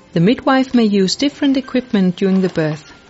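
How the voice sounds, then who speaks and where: A woman's calm, medium-pitched voice over background music. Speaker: midwife. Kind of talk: scripted tour-guide voiceover, step-by-step directions through the hospital ward. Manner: calm, reassuring and methodical, like reading careful instructions; formal, slightly stiff non-native phrasing.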